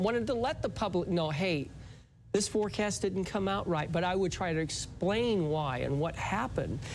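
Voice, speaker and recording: A man's high voice with ordinary pitch variation, in a space with audible room echo. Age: 60s. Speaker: retired meteorologist and musician. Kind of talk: interview.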